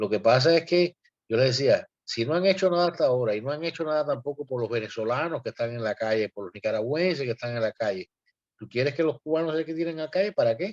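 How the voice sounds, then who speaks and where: Very fast speech from a man with a fairly high pitch and lively intonation, in a dry, close sound with no echo. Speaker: activist. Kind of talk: panel discussion. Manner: animated.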